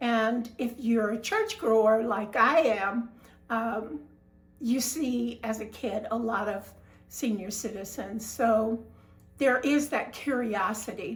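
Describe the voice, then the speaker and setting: At a very slow pace, a woman with a fairly high pitch speaks in a somewhat breathy voice with ordinary pitch variation. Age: 70s. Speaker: retired information technology worker. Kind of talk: casual talk to camera.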